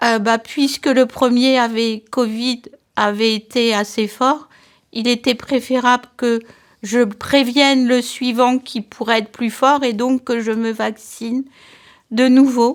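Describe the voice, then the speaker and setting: Monotone, flat intonation marks speech that moves at a very slow pace. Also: woman, high pitch for a woman. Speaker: interviewee with long covid. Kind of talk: testimony. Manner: halting.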